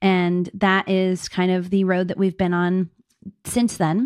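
In a very clean recording with a silent background, a woman speaks at a moderate pace in a normal speaking voice with a medium pitch. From Pittsburgh, Pennsylvania. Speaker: suburban homesteader and beekeeper. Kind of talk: interview.

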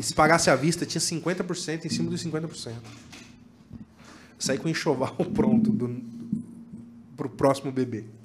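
With lively intonation and a fairly high pitch, a man speaks over noticeable background noise. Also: fairly slow pace. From Tocantins, Brazil (Palmas). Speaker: worship musician. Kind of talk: casual chat.

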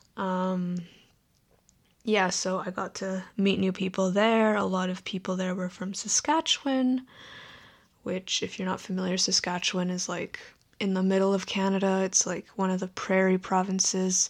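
In a very clean recording over a silent background, a woman with a normal speaking voice talks at a medium pitch and moderate pace with fairly even intonation. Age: 20s. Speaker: solo podcaster. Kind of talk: casual monologue. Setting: home bedroom.

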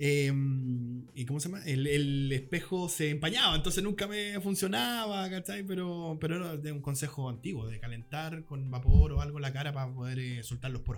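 Over noticeable background noise, a man with a Chilean accent speaks in a fairly high voice with lively intonation. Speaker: podcast co-host. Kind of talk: casual chat. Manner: fast.

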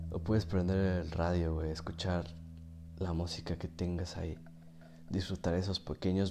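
A man with a Mexican accent speaks at a moderate pace in a very deep, low pitch, with a dark, mellow tone and monotone, flat intonation. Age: 20s. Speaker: podcaster and streamer. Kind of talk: casual monologue.

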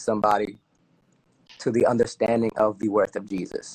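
A man with an American accent talks at a fairly quick pace. The sound is dry and close with no echo. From Newark, New Jersey. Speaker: singer-songwriter and drummer. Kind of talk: casual live interview. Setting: online live stream.

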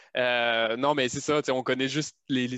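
Using a plain, everyday voice, a man speaks at medium pitch with fairly even intonation. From France. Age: 30s. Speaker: software programmer. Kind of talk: casual chat.

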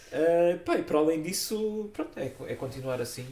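A man's fairly high-pitched voice at a fairly slow pace, with ordinary pitch variation and noticeable background noise. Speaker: film podcast host. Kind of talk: casual chat.

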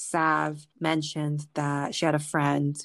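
Fairly even intonation over a quiet background. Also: woman. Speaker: podcast host and grad student. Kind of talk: casual chat.

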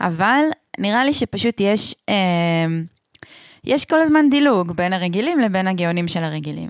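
A woman speaks at a moderate pace with a medium pitch and very wide swings in her pitch. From central Israel moshav. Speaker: podcast co-host and radio broadcaster. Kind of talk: casual chat. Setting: at her home.

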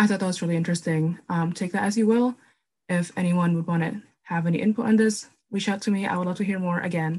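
The speech moves at a very fast pace with fairly even intonation. The voice sounds somewhat breathy. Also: woman, medium pitch for a woman. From Minneapolis, US (moved from Indonesia at age 8). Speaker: recent university graduate. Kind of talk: casual chat.

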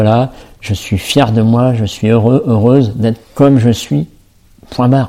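A man at medium pitch in a dark, mellow tone, very slow and fairly even in intonation. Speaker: self-love coach and podcaster. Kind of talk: solo podcast monologue. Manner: halting, many fillers and repetitions.

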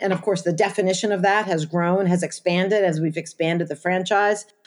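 Speaking at a fairly quick pace, a woman with an ordinary speaking voice uses an American accent at a medium pitch. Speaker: advocacy organization founder. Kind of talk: interview.

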